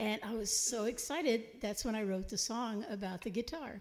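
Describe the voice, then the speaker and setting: A woman speaks with a Texan accent and a dark, mellow tone. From Texas, San Antonio. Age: 70s. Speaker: singer-songwriter. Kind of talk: live concert banter.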